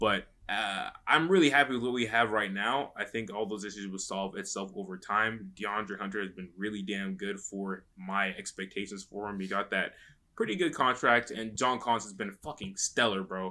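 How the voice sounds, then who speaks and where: Bright and sharp in tone, a man with an American accent speaks at a fairly low pitch and moderate pace, with hardly any pauses and fairly even intonation. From US South, North Carolina and Atlanta. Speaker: basketball podcast co-host. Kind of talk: casual chat.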